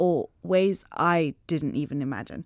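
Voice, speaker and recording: A woman with a fairly low pitch uses a normal speaking voice with ordinary pitch variation. The sound is dry and close, with no echo. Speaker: podcast host. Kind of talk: casual interview. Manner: chatty, laughs often.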